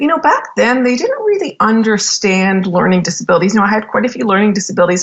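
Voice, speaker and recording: Fairly high and somewhat breathy, a woman's voice comes through with a Canadian accent. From Canada. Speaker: business executive and podcast host. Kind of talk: interview. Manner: casual, filler-heavy speech.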